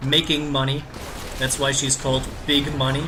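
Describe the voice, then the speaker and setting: Speaking at a moderate pace in a German accent, a man is heard over noticeable background noise. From Germany. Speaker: gaming streamer. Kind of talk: live stream commentary. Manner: halting.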